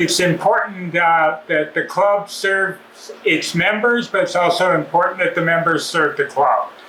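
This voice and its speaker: Over noticeable background noise, a man speaks in a high pitch with fairly even intonation. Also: fairly slow pace. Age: 70s. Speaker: dirt bike club member giving a maintenance demo. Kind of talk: casual address to club members; casual tutorial. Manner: relaxed, with many fillers.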